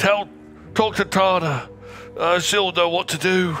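A man's high-pitched, put-on character voice, with clear background noise. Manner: reassuring, urgent.

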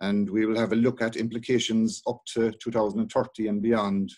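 In a quiet setting, a man's words come at a moderate pace. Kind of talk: lecture. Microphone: webcam.

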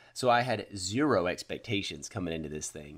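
Against a quiet background, a man with a fairly low voice talks at a moderate pace. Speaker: cycling channel host. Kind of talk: casual product review. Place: garage. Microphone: phone near.

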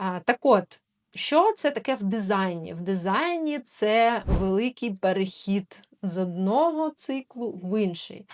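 A woman's normal speaking voice, fairly high in pitch with lively intonation, at a fairly slow pace, in a very clean recording with a silent background and a dry, close sound with no echo. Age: 30s. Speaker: human design consultant and video blogger. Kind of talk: talking-head explainer video. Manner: casual, with frequent filler tag questions.

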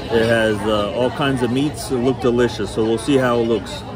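Moderate-paced speech over crowd noise in the background. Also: man. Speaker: restaurant vlogger. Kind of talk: casual vlog chat. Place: cafe. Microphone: phone near.

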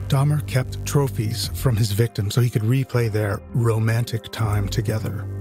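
Over music in the background, a man with a fairly low pitch talks at a moderate pace with ordinary pitch variation. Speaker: podcast host. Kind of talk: podcast trailer narration.

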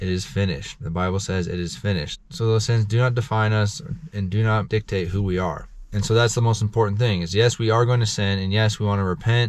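Dry with no echo, a man's fairly low voice races along at a very fast pace with ordinary pitch variation. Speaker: vlogger sharing faith reflections. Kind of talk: casual vlog sermon-like talk. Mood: earnest, encouraging. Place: car. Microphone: phone near.

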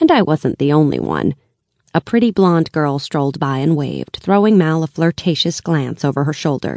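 A woman speaks at a moderate pace with a very deep, low pitch and a dark, mellow tone, her pitch varying in an ordinary way. The sound is dry with no echo, over a quiet background. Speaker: audiobook narrator. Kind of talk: audiobook narration of a fantasy novel, first-person. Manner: measured, storytelling pace with dramatic character voices. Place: studio.

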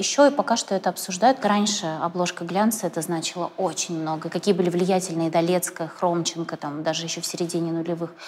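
The intonation of this woman is fairly even. She moves through her words at a fairly quick pace. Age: young. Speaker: interviewer and blogger; interviewer, blogger. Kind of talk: interview. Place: studio. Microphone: lapel.

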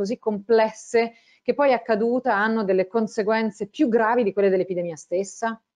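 Against a quiet background, a woman speaks at a fairly quick pace. Her voice is fairly high, with ordinary pitch variation. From Italy. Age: 40s. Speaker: science communicator and journalist; journalist. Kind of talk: interview. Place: home room. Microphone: earbuds.

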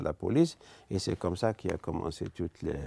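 A man's dark, mellow tone in a dry sound with no echo. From Algeria. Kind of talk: testimony interview; interview answer. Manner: halting. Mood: earnest, calm. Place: studio. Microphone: lapel.

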